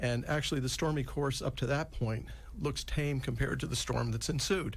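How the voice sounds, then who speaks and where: Quick-paced and very even in loudness, a man talks with audible room echo around him. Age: 60s. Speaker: physician and Alzheimer's expert. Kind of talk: radio interview explanation.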